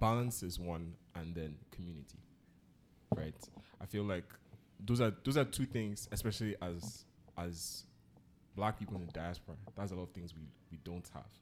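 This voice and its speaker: Speaking at a moderate pace with a Nigerian accent, a man with a very deep, low pitch leaves long, frequent pauses and swings widely in loudness. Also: ordinary pitch variation. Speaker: podcast host. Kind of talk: casual chat.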